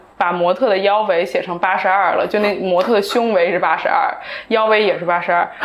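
Talking at a fairly quick pace, a woman with a medium pitch keeps her intonation fairly even, with audible room echo and noticeable background noise. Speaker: entrepreneur. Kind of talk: casual chat. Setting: small recording studio.

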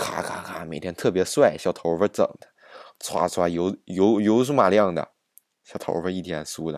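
This man has a very deep, low voice and an animated tone, talking at a moderate pace with ordinary pitch variation and big swings in loudness. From Northeast China, Jilin. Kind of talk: casual monologue.

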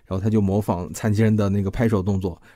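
The recording is very clean with a silent background, carrying a man's dark, mellow tone. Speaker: podcast host. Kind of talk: storytelling monologue. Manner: casual.

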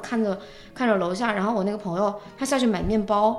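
Amid audible room echo and noticeable background noise, a woman talks very fast at a fairly high pitch with fairly even intonation. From China. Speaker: world traveler and goods trader. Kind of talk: casual chat.

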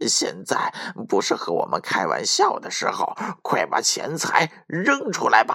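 In a put-on character voice, the speaker uses a bright, sharp tone with vocal fry and very wide pitch swings at a fairly slow pace.

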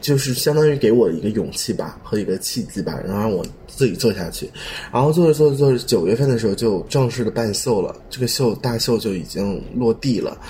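With a plain, everyday voice, a man speaks at a fairly quick pace and medium pitch with ordinary pitch variation. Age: young. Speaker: fashion designer. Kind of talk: casual chat.

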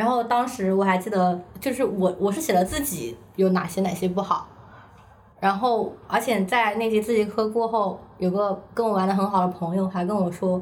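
Speaking with a Hunan accent, a woman keeps a medium pitch, ordinary pitch variation and a moderate pace. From China, Hunan. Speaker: staff writer. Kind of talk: casual chat.

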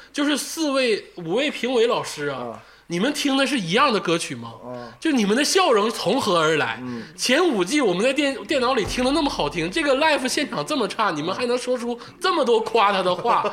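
Against noticeable background noise, a man speaks at an extremely high pitch with very wide pitch swings and a fairly quick pace. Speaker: podcast host. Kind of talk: casual chat. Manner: frequent laughter.

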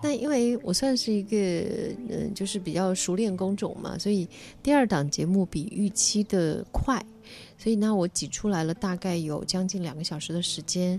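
A woman's voice with a dark, mellow tone sits at a medium pitch. Her pitch varies in an ordinary way. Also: moderate pace. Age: 40s. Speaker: writer and broadcaster. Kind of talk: casual chat.

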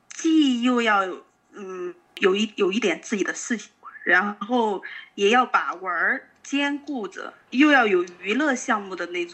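A woman speaks at a very slow pace in a fairly high pitch. Her loudness swings widely. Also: lively intonation. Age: 30s. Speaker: group participant sharing emotions. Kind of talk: casual chat. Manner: halting.

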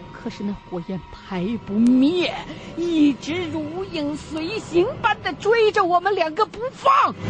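Speech unfolds at a very slow pace. Behind it, music can be heard. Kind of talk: true-crime horror narration, first-person retelling. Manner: suspenseful, tense, with a hushed, urgent build-up.

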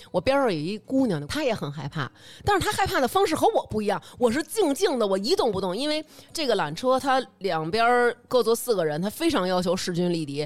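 With a northern Chinese accent, a woman talks in an animated tone at a fairly high pitch, her voice making very wide pitch swings. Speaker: podcast host. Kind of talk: casual chat.

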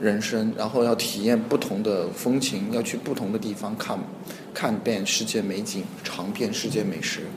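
Through noticeable background noise and audible room echo, a man speaks at a fairly low pitch and a moderate pace, with fairly even intonation. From Hunan, China. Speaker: startup co-founder. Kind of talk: interview. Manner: halting, many fillers.

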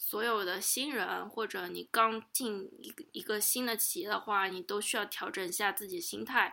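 With vocal fry and a medium pitch, a woman speaks at a moderate pace with fairly even intonation and hardly any pauses, on a very clean recording with a silent background. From Shanghai, China. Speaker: guest, Chinese expat worker in US. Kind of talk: casual interview chat.

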